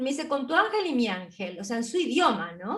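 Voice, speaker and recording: The woman's voice sits high in pitch. It swings very widely up and down. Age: 60s. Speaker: spiritual interview host. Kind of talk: interview conversation.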